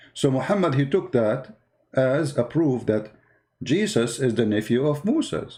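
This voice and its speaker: A man's medium-pitched voice has a dark, mellow tone and very wide pitch swings. The recording is very clean, with a silent background. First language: not English. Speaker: online religious debater. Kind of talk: polemical video commentary. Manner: animated.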